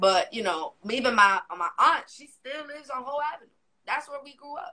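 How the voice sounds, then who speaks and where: Raised and projected, a woman's high-pitched, animated voice moves at a fairly quick pace with very wide pitch swings and big swings in loudness. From Miami, Florida. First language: Spanish. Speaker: podcast guest. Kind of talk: casual chat.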